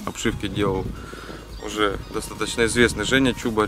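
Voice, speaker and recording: Over clear music in the background, a man with a fairly low pitch speaks at a moderate pace with fairly even intonation in a dry sound with no echo. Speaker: car audio reviewer. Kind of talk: review commentary. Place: waterside.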